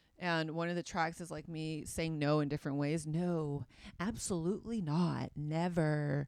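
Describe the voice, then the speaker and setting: A woman with a very deep, low voice talks in an animated tone at a moderate pace. The recording is very clean, with a silent background. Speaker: comedian. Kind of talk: casual interview chat.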